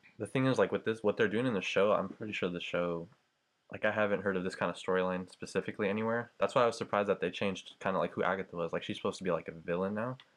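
Against a quiet background, a man talks at a very fast pace. His pitch is fairly low, with fairly even intonation. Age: 20s. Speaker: college student. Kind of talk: casual chat.

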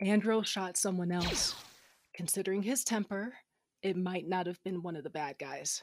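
Her pitch is medium and its variation ordinary as this woman talks at a moderate speed. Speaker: audio drama actor, first-person narrator. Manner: animated, sarcastic, playful and flirtatious.

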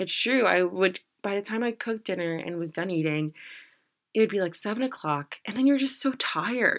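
Over a quiet background, a woman with an American accent speaks at a fairly quick pace. Her tone is animated, her intonation lively. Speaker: podcast host. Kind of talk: casual solo podcast monologue.

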